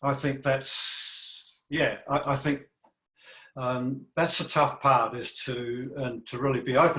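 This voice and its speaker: Bright and sharp in tone, this voice has an Australian accent, a fairly slow pace and monotone, flat intonation. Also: man. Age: 60s. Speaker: panel participant. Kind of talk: panel discussion. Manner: halting.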